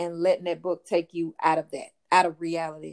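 Heard in a dry, close sound with no echo, a woman with a rural Louisiana accent speaks at a medium pitch. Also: very clean recording, silent background. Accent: rural Southern US (Louisiana). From US South, rural Louisiana. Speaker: author. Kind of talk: interview.

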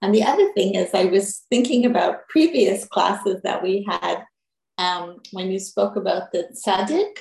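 Here is a woman with an ordinary speaking voice at a medium pitch. She talks fairly slowly with ordinary pitch variation. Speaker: class student. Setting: video call.

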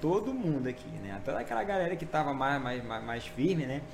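Very fast, lively-toned speech with audible room echo and noticeable background noise. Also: man. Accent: Maranhão. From Maranhão, Brazil. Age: 40s. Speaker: pastor. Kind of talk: testimony. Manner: casual, halting with fillers.

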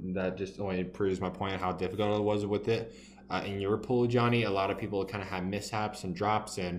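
Over noticeable background noise, a man with a fairly low pitch talks at a fairly quick pace in a monotone, flat intonation. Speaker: podcast co-host.

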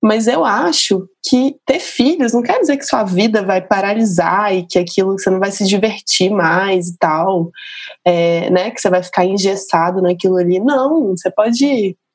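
A woman with an unremarkable speaking voice talks at a fairly slow pace. Her pitch is medium, with ordinary pitch variation. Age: 30s. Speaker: journalist. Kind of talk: casual chat.

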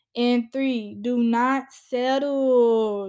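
In a high yet dark, mellow tone, a woman speaks with monotone, flat intonation. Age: 20s. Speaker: podcast host. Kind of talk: solo podcast monologue. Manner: casual, many filler ums.

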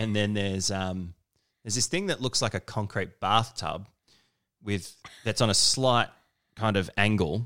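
Delivered in an Australian accent at a moderate pace, the speech has ordinary pitch variation and long, frequent pauses on a very clean recording with a silent background. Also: man, fairly low pitch for a man. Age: 30s. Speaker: podcast host. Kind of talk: casual chat. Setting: at home.

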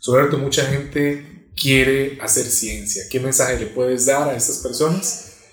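With music in the background and audible room echo, a man with a fairly high pitch speaks at a fairly slow pace. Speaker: podcast host. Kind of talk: interview.

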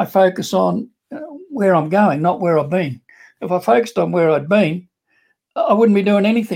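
This man has a high pitch and an Australian accent, with ordinary pitch variation. He talks at a moderate pace, broken by long, frequent pauses. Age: 60s. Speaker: online business entrepreneur. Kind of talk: interview testimony. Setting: video call.

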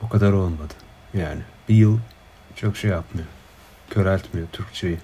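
This man's voice sits fairly low, with a dark, mellow tone and a somewhat breathy quality. His pitch varies in an ordinary way, and he keeps a moderate pace. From Turkey. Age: 20s. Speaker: PhD student in political science. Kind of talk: casual chat. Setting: video call. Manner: hesitant, many fillers.

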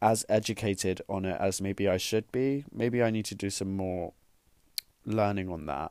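A man speaks at a moderate pace with ordinary pitch variation and a dark, mellow tone, his voice dry and close with no echo on a very clean recording over a silent background. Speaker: podcast host. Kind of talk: casual chat. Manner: soft-spoken.

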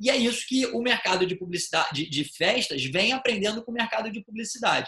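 A man uses a raised, projected voice with ordinary pitch variation. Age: 30s. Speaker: event producer and marketer. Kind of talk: podcast interview.

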